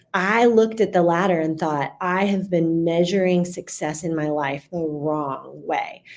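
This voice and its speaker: Her voice is an unremarkable speaking voice, a woman's fairly low pitch with ordinary variation, fairly slow yet with hardly any pauses. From US South, Central Florida. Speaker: customer experience speaker and author. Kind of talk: podcast interview. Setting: studio.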